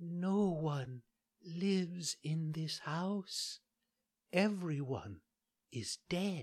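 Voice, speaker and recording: Whispering in a put-on character voice, a man speaks very slowly with long, frequent pauses. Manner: whispering, weak.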